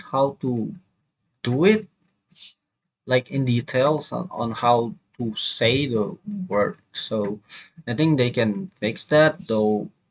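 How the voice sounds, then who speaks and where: Speech comes at a very slow pace in an Indonesian accent. Long pauses break it up often. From Indonesia, Jambi. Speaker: university student. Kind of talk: video review. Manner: halting, many fillers.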